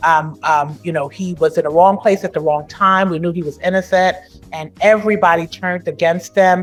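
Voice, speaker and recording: A woman with a slight Brooklyn accent talks at a moderate pace in a fairly even intonation, with music playing in the background. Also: fairly low pitch for a woman. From New York, Brooklyn. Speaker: judge, former criminal defense attorney. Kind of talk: interview. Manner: halting, many fillers.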